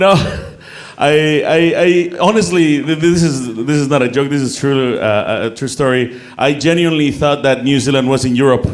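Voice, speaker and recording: Fairly high-pitched for a man, this male voice moves at a moderate pace with ordinary pitch variation, audible room echo and noticeable background noise. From Mexico. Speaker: comedian. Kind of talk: stand-up. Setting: stage with audience. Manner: halting.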